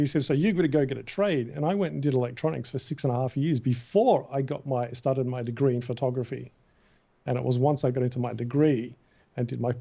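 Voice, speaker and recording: A man's dark, mellow voice in an Australian accent, medium in pitch with ordinary pitch variation and a fairly quick pace. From Australia, Melbourne. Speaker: film concept artist. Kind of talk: interview. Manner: animated.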